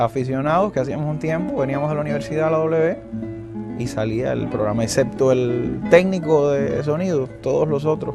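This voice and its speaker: In a Cuban accent, a man speaks at a fairly high pitch with ordinary pitch variation while music plays in the background. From Sagua la Grande, Cuba. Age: young. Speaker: archaeologist; radio and television announcer. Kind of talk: interview answer.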